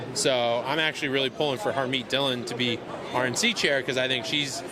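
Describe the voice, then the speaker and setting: Noticeable background noise and audible room echo around a moderate pace and fairly even intonation. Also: man. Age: 30s. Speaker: political social media influencer, former attorney. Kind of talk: interview.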